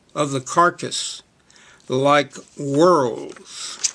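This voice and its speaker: A bright, sharp male voice with an American accent and flat, monotone intonation. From Oklahoma. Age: 70s. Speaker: poet. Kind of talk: casual spoken introduction; poetry reading.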